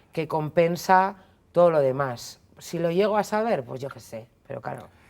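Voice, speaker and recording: Speaking at a moderate pace, a woman with a fairly low voice sounds animated, her intonation lively. The recording is very clean, with a silent background. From Spain, Basque Country (Basauri, Biscay). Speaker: feminist commentator. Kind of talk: interview. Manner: casual, animated.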